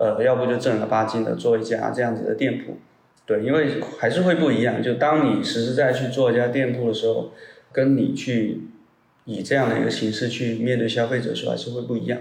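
Fairly quick and fairly even in intonation, a man speaks at a medium pitch. Audible room echo surrounds his voice. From Guangdong, Hakka region. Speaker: coffee business owner. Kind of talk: casual interview.

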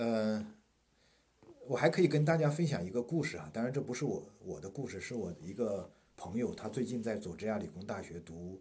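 At a moderate pace, a man with a medium pitch and a dark, mellow tone sounds somewhat breathy, with very wide pitch swings and big swings in loudness. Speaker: university professor. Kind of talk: casual interview chat.

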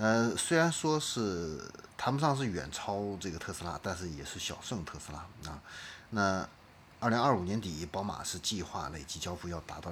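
A man's very deep, low voice with lively intonation, big swings in loudness, a moderate pace and audible room echo. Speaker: podcast host. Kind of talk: solo commentary on car industry. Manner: many filler particles and hesitations.

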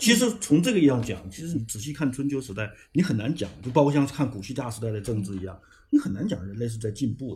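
A man speaks at a very fast pace with lively intonation and a medium pitch. His loudness swings widely. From Fushun, northeast China. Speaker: writer. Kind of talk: interview.

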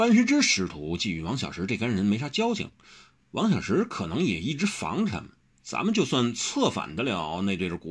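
Just plain reading aloud

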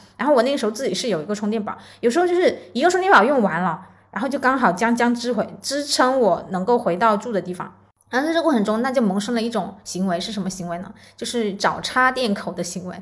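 At a very fast pace, a woman with a fairly high voice speaks with lively intonation. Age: 20s. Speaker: podcast host. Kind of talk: solo podcast monologue.

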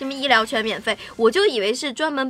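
Her tone is bright and sharp, with ordinary pitch variation. The woman speaks at a fairly quick pace. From Shaanxi, northern China. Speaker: radio host. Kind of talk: casual chat.

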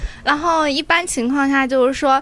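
Her voice sits high in pitch, and it rises and falls in the usual way for ordinary speech. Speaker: audience member. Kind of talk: casual chat.

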